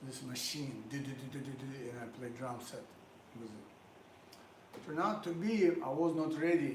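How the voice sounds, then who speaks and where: In a fairly high voice, a man talks with ordinary pitch variation, with audible room echo and noticeable background noise around him. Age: 60s. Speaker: drummer. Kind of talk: casual monologue between music.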